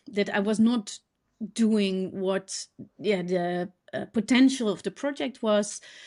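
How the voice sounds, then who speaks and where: A woman with a Dutch accent speaks at a very slow pace, her medium-pitched voice dark and mellow in tone with ordinary pitch variation, on a very clean recording with a silent background. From Netherlands. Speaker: designer and educator. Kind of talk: podcast interview. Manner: halting, many fillers.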